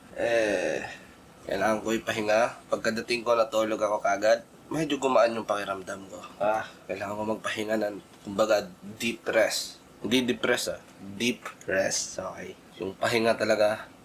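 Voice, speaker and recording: At a moderate pace, a man speaks through noticeable background noise. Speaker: vlogger and musician. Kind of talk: casual vlog talk.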